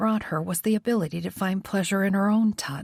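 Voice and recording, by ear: The speaker is reading aloud in a natural voice. The pitch variation is ordinary.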